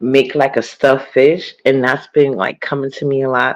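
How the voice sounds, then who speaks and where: Her voice is soft-spoken, and this woman's pitch sits very deep and low. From US Northeast (New York, Harlem). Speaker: live streamer. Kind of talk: casual live stream chat. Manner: soft-spoken, talking low.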